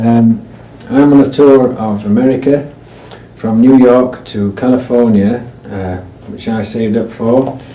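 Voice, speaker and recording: With a northern English accent, a man speaks fairly slowly at a medium pitch and with fairly even intonation, amid audible room echo and noticeable background noise. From northern England, Cheshire. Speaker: amateur interviewer on a music tour. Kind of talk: recorded interview and spoken message to listeners. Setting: home of the interviewees. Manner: halting, many fillers. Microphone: old amateur recording, poor quality.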